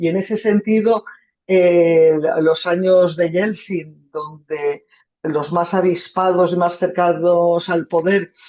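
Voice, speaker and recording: A woman with a fairly low pitch, monotone, flat intonation and a very slow pace. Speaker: journalist, foreign correspondent. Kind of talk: talk with audience Q&A. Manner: halting.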